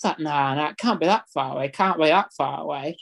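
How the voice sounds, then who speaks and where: A man with a Yorkshire accent, in a dry, close sound with no echo. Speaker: football fan. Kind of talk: casual chat telling stories.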